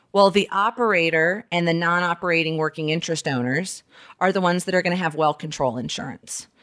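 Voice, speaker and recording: On a very clean recording with a silent background, a woman with an American accent talks at a very fast pace, her pitch fairly low and her pitch variation ordinary. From Alabama, US South. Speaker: lawyer, podcast host. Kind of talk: solo monologue. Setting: dining room at home.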